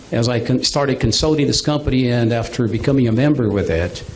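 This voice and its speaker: Over noticeable background noise, a man with a Brazilian Portuguese accent speaks at medium pitch with fairly even intonation. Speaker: business presenter. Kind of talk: business presentation. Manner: halting.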